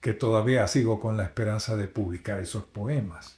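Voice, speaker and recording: The man's voice is dark, mellow and somewhat breathy, with ordinary pitch variation. The recording is very clean, its background silent. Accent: slight Dominican. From Dominican Republic, Puerto Plata. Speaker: radio announcer and pastor. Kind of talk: interview. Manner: expressive, varied intonation.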